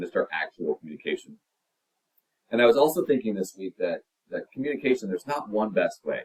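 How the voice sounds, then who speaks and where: The sound of this man's voice is dry and close, without any echo. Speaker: college instructor. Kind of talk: lecture. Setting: recorded video.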